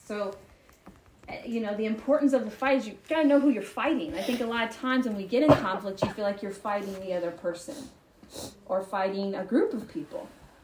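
Against noticeable background noise, a woman with an American accent talks fairly quickly at a fairly high pitch with ordinary pitch variation. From US South, Marietta, Georgia. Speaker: women's retreat speaker. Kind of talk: talk at a church retreat. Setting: retreat with live audience.

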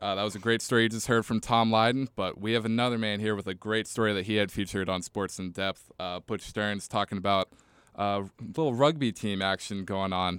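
A man with a normal speaking voice at fairly low pitch talks with fairly even intonation, the sound dry and close with no echo in a very clean recording with a silent background. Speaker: podcast host. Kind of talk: casual chat.

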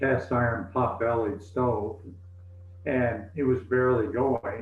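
Audible room echo surrounds a man with an American accent who speaks at a very slow pace. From US South, East Tennessee. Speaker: retired pastor. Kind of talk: interview.

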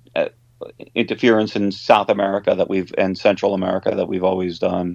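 This is a man speaking. He has a New York accent. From Long Island, New York. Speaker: rock guitarist. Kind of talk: interview. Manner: halting.

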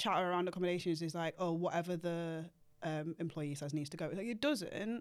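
In a very clean recording with a silent background, a woman of medium pitch speaks with a British accent. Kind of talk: casual podcast interview.

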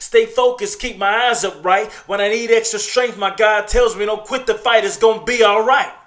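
A high-pitched man at a moderate pace with fairly even intonation, music in the background. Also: hardly any pauses. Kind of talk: poet spoken word. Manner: earnest, motivational, confessional.

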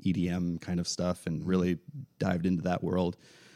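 The voice has a dark, mellow tone and an American accent. It moves at a moderate pace, with a dry, close sound and no echo. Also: man. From Central Florida. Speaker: drummer. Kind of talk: casual interview chat. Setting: in-person studio recording room.

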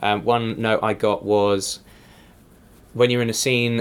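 A man with an English accent speaks with fairly even intonation. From England. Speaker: improviser. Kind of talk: casual interview. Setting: podcast.

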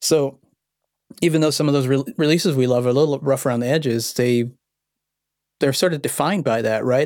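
A man with an unremarkable speaking voice talks at a fairly quick pace and medium pitch with fairly even intonation, on a very clean recording with a silent background. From born in Vienna, Austria, raised in Los Angeles. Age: 40s. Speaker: electronic music producer. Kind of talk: interview.

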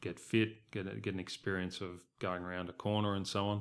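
In a very clean recording with a silent background, a man speaks at a moderate pace with an Australian accent. His very deep, low pitch carries a bright, sharp tone. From Southeast Queensland, Australia. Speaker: race club chief executive. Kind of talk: interview. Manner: halting, many repeated words.

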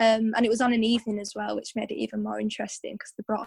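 A woman talks at a very fast pace with a fairly high pitch. Her voice is somewhat breathy, with a dry, close sound and no echo. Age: 20s. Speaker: 800 metre runner. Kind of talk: interview. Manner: animated.

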